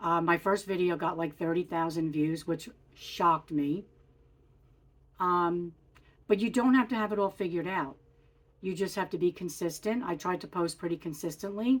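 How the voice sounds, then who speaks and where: A woman talks at a moderate pace with long, frequent pauses and ordinary pitch variation, on a very clean recording with a silent background. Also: fairly low pitch for a woman. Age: 60s. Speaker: lifestyle vlogger. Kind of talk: casual vlog talk to camera. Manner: casual, with frequent fillers.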